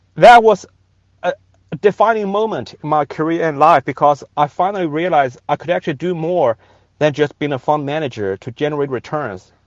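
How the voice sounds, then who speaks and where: A man with a Chinese accent speaks at a fairly quick pace in a fairly high pitch, his intonation lively. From China. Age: 40s. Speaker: venture capitalist. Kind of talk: rally speech. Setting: in a car by the highway. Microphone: phone on 5G.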